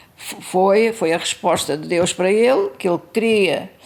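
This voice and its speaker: A woman speaks at a very slow pace. Her medium pitch shows ordinary variation, with noticeable background noise behind her. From Mozambique (Maputo, then Beira). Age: 80s+. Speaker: interviewee recounting family church history. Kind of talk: oral history interview. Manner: hesitant, with fillers.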